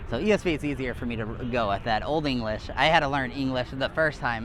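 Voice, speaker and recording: Noticeable background noise sits behind a man talking at a very fast pace with a fairly high pitch. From Hawaii. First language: Hawaiian. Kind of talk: casual religious debate. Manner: hesitant, many fillers.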